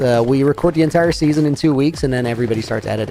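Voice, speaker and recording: A man's fairly high voice, with ordinary pitch variation, comes through noticeable background noise. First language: Dutch. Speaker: gaming streamer. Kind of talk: casual live-stream chat. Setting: live stream.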